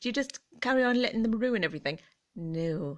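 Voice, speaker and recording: A woman's fairly high voice in an English accent, with very wide pitch swings. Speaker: vlogger. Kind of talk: casual chat. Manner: gentle; animated.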